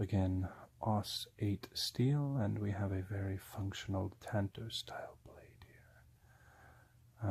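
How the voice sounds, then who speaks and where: A soft-spoken man talks at a fairly low pitch and a very slow pace. His voice is somewhat breathy. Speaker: ASMR creator. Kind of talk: ASMR product review.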